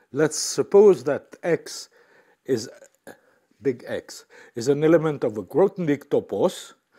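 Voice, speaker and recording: Dark, mellow tone from a man in a French accent, very slow pace, very wide pitch swings. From France. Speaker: mathematician. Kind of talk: lecture. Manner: halting.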